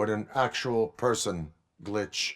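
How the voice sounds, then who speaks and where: Using a put-on character voice, a man speaks at a fairly low pitch on a very clean recording with a silent background. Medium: video game. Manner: flat, formal, clipped.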